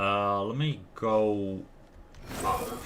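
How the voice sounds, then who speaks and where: A man with a Dutch accent speaks at a fairly low pitch. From Netherlands. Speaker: gaming streamer. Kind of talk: live gameplay commentary.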